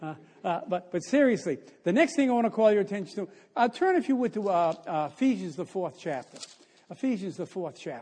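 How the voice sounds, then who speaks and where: With an American accent, a man speaks at a fairly quick pace in a high pitch. His tone is dark and mellow, and his pitch swings very widely. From US Northeast. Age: 80s+. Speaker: visiting preacher. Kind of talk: sermon. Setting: church.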